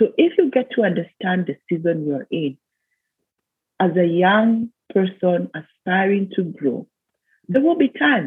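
A woman's medium-pitched voice with a Kenyan accent, lively intonation, a fairly slow pace and long, frequent pauses. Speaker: business consultant and leadership mentor. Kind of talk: interview.

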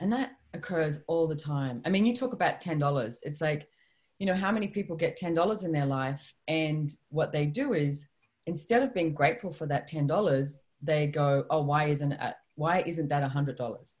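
A woman with a very deep, low pitch speaks at a fairly slow pace, her somewhat breathy voice carrying lively intonation. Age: 50s. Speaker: author and personal development trainer. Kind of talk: interview.

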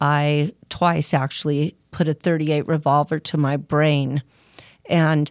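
A woman is speaking. She has a Californian accent. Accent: Californian American English. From Southern California (Arcadia). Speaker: person in addiction recovery. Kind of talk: testimony.

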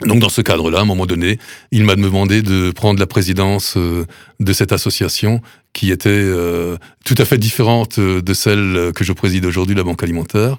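A man uses a normal speaking voice at a fairly low pitch and moderate pace, with fairly even intonation and very even loudness, in a very clean recording with a silent background. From Alsace, Sélestat. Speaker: food bank president, retired mayor. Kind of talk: radio interview. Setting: studio.

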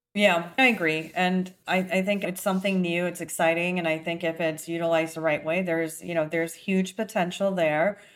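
In a very clean recording with a silent background, a woman with a fairly low pitch speaks at a fairly quick pace with hardly any pauses. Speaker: podcast host. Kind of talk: casual interview. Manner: upbeat, enthusiastic.

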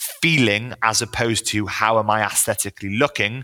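Bright, sharp tone with ordinary pitch variation, on a very clean recording against a silent background. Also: man. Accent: Welsh. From Wales, small town. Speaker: personal trainer. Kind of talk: casual interview chat.

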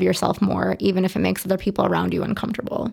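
A Chicago-area accent at a very fast pace. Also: woman. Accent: Chicago-area American English. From Chicago suburbs (Berwyn, Lockport), Illinois. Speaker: former flight attendant. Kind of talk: interview.

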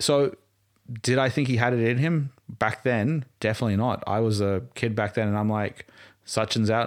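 An Australian accent comes from a man at a medium pitch. His pace is moderate and his pitch varies in an ordinary way. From Australia, Queensland. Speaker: cricket fan. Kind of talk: casual chat.

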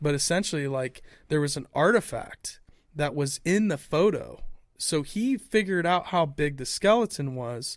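A man with an American accent speaks in a plain, everyday voice at a fairly high pitch, with lively intonation at a moderate pace, on a very clean recording with a silent background. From Ohio, US Midwest. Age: 40s. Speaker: podcast host. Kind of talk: casual chat.

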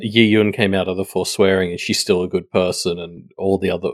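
Very fast, a man speaks with an Australian accent in a dry, close sound with no echo. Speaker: podcast guest. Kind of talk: casual chat. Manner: halting, repeats words.

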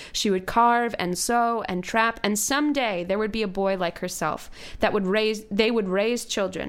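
A woman with a normal speaking voice talks at a moderate pace, her pitch fairly high with ordinary pitch variation. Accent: American. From US, Virginia. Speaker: podcast host. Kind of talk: casual chat.

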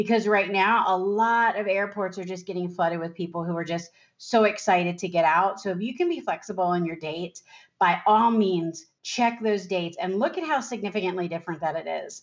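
A woman with an ordinary speaking voice, medium in pitch, at a fairly quick pace with ordinary pitch variation. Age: 50s. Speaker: financial advisor podcast host. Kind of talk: solo podcast talk.

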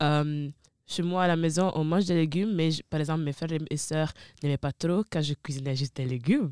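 A woman's very deep, low voice, dark and mellow in tone, with ordinary pitch variation. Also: fairly quick pace. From Italy, of Ivorian parents. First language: Italian (speaking French). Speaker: university student. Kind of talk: casual chat.

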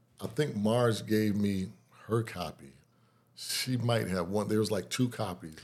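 Speaking at a fairly slow pace, a man uses a normal speaking voice, fairly low in pitch with ordinary pitch variation. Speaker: guitarist. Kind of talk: interview about music career. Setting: radio studio.

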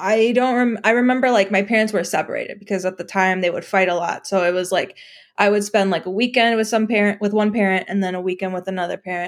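With an American accent, a woman talks at a very fast pace and with fairly even intonation. The recording is very clean, with a silent background. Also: medium pitch for a woman. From Chicago. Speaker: software engineer. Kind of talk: casual interview.

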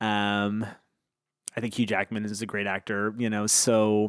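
Captured on a very clean recording with a silent background, a man speaks at a fairly low pitch. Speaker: podcast host. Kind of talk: casual interview. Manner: hesitant, lots of fillers.

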